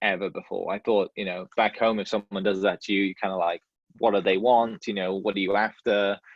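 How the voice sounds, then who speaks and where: Speaking with a Welsh accent, this man has a fairly low pitch. He talks at a fairly quick pace in a flat monotone. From Wales. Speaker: podcast host, realtor, guest speaker. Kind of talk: talk to a club. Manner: casual, many fillers and restarts.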